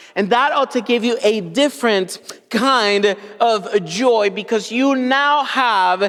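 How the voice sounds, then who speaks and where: Extremely high-pitched male voice with lively intonation at a very slow pace. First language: Spanish. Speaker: pastor. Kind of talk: sermon.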